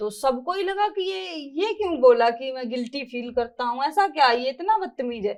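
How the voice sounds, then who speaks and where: A woman speaks with lively intonation. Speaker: reality show contestant. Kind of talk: interview answer.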